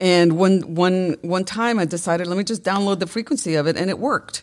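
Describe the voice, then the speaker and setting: This woman talks at a fairly quick pace, her medium pitch moving with ordinary variation. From Colombia, raised in Brooklyn, New York. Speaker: breathwork facilitator and energy healer. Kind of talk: casual interview conversation. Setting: studio.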